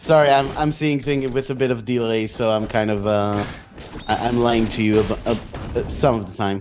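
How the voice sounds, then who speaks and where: A man of medium pitch talks at a moderate pace. Audible room echo and noticeable background noise are present. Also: ordinary pitch variation. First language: not English. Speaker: speedrun commentator. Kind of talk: live commentary. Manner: halting, many fillers.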